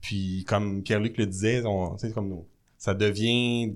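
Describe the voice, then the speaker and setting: At a very slow pace, the speech shows ordinary pitch variation in a very clean recording with a silent background. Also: man. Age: 30s. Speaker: mayor. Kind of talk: casual chat. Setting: studio.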